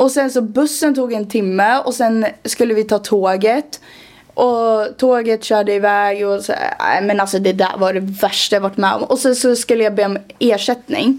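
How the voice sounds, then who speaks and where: With a plain, everyday voice, a woman talks at a moderate pace and a fairly high pitch, her pitch varying in an ordinary way. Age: 20s. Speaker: podcast co-host and TikTok creator. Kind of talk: casual chat.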